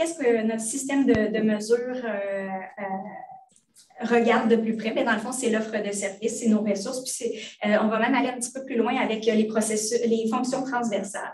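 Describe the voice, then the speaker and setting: Moderate pace and ordinary pitch variation, with noticeable background noise and audible room echo. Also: woman. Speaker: hospital librarian, department head. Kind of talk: online training presentation. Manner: hesitant, many fillers.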